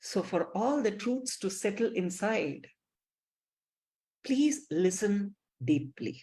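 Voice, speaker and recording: Very slowly, with long, frequent pauses, a woman speaks in a dark, mellow, somewhat breathy tone with very wide pitch swings. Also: medium pitch for a woman. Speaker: spiritual teacher. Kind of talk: lecture.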